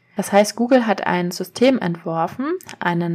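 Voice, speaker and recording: The recording is very clean, with a silent background. A woman with medium pitch and an ordinary speaking voice talks at a moderate pace. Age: 30s. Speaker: SEO consultant and podcast host. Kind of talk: solo explainer podcast. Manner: casual, with frequent fillers.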